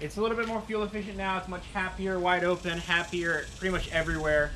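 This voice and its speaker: Over light background noise, a man with a high voice speaks at a fairly quick pace with fairly even intonation. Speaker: car owner vlogger. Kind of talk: casual vlog chat. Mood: relaxed, pleased. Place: street. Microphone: camera far.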